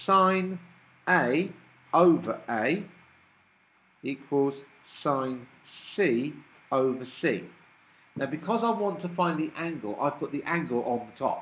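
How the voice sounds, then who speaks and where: Amid noticeable background noise, a man with a British accent speaks at a very slow pace with a fairly high pitch, lively intonation, big swings in loudness, and long, frequent pauses. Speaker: maths teacher. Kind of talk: classroom lecture.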